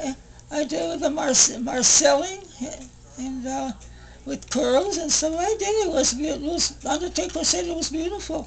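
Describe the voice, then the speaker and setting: A woman speaks at a moderate pace in a high pitch with ordinary pitch variation, over noticeable background noise. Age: 80s+. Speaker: retired hairdresser. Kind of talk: interview answer.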